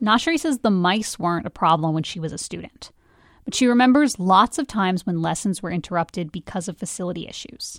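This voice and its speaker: An unremarkable speaking voice moves at a fairly quick pace with lively intonation and big swings in loudness, captured in a very clean recording with a silent background and a dry, close sound with no echo. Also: woman, medium pitch for a woman. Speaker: podcast host and narrator. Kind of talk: scripted narration.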